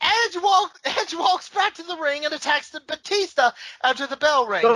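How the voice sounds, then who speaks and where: Raised and projected, a woman's voice at an extremely high pitch moves at a moderate pace with lively intonation, in a dry, close sound with no echo. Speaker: wrestling podcast co-host. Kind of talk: casual chat recapping a wrestling event.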